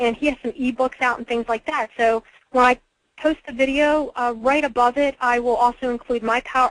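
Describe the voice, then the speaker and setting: A woman's high-pitched voice, fairly quick and flat, with monotone intonation. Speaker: webinar trainer. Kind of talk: training webinar. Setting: webinar call. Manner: fast; casual, with fillers.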